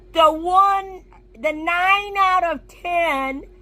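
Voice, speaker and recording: Her voice is raised and projected as the woman talks. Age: 60s. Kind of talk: personal commentary video.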